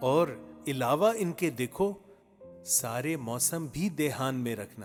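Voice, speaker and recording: A medium-pitched male voice with very wide pitch swings, over music in the background. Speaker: poetry reciter. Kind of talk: poetry reading. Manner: elegant, refined Urdu diction.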